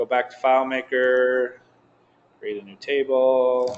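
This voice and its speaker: The speech is very slow. It comes from a male speaker. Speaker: software developer presenting at user group meeting. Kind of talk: live software demo to user group.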